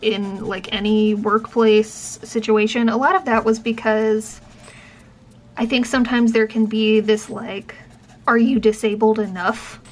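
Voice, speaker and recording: Fairly high, monotone speech from a woman, flat in intonation, with noticeable background noise. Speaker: professor and vlogger with chronic illness. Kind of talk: casual vlog chat. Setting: in a car. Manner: projects well.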